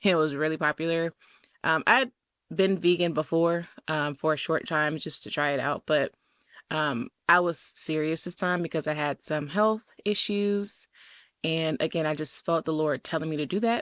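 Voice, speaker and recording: In a Southern US accent, a woman with a very deep, low pitch talks at a moderate pace with ordinary pitch variation, in a dry, close sound with no echo on a very clean recording with a silent background. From US South. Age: 20s. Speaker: podcast host. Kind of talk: casual monologue. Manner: casual, with many fillers.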